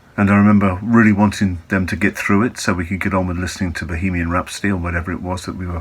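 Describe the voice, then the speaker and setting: Calm and at a fairly quick pace, a man with an English accent speaks in a very deep, low voice with monotone, flat intonation. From England. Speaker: Buddhist teacher. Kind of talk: reflective talk.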